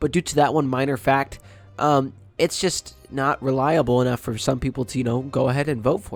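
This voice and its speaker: Music plays in the background as a man speaks fairly quickly at medium pitch. His intonation is fairly even, but his loudness swings widely. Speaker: gaming YouTuber. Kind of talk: casual gameplay commentary.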